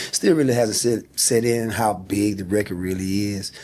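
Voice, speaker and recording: With a Southern US accent, a man speaks at a fairly low pitch in a dark, mellow tone and fairly even intonation. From South Carolina, small town. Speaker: singer. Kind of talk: interview.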